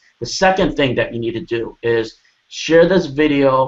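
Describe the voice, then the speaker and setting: Speaking at a moderate pace, a man uses a fairly high pitch with ordinary variation. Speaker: online marketing coach hosting interview. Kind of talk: sales pitch. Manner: loud; animated.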